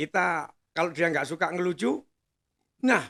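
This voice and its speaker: A man's bright, sharp, fairly high voice moves at a moderate pace. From East Java, Indonesia (Nongkojajar, Pasuruan). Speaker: master of ceremonies. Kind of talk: casual chat.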